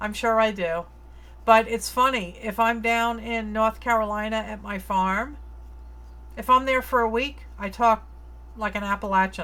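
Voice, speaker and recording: In a very clean recording with a silent background, a woman talks at a moderate pace with long, frequent pauses. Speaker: livestreamer painting, reading viewer comments.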